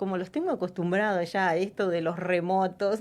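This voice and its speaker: On a very clean recording with a silent background, a woman with an Uruguayan accent speaks at a moderate pace and medium pitch. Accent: Rioplatense (Uruguayan) Spanish. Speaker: radio host. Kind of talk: radio interview. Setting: radio studio.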